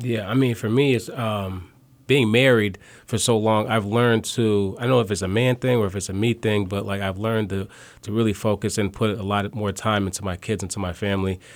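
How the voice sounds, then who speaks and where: An ordinary speaking voice from a man, fairly low in pitch, with fairly even intonation at a fairly quick pace, on a very clean recording with a silent background. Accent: American. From small-town Ohio and South Side Chicago. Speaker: real estate professional. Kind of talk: interview. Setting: studio.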